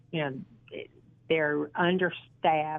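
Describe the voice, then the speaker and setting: A woman speaks in a Southern US accent at a very deep, low pitch. Her intonation is monotone and flat, and her pace fairly slow. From US South (Georgia). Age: 60s. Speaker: model and actress. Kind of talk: interview. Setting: phone call.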